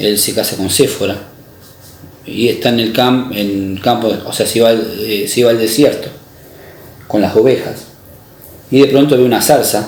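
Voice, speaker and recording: Amid noticeable background noise and audible room echo, a man of medium pitch speaks at a moderate pace with long, frequent pauses. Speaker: preacher. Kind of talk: sermon. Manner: halting, many fillers.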